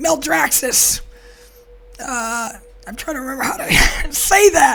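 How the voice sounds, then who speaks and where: At a fairly slow pace, a woman talks. Music can be heard behind her. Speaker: gaming video host. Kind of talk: casual gaming news update to camera.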